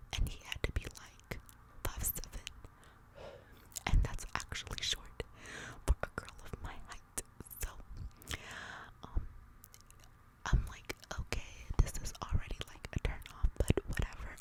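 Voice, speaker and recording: Whispering at a fairly slow pace with long, frequent pauses, a woman shows big swings in loudness over noticeable background noise. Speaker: ASMR content creator. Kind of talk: ASMR whispered storytelling. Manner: whispered, soft.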